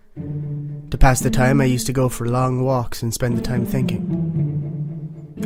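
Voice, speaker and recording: Lively intonation with music in the background. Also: man. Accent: Irish. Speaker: horror story narrator. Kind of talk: horror story reading.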